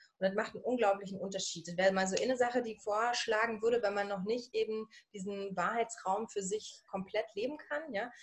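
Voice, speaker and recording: A woman talks at a fairly quick pace with a strong Berlin accent. Her voice is fairly high in pitch, with fairly even intonation. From Berlin/Brandenburg, Germany. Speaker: coach for women. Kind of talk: interview. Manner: casual, dialect-heavy.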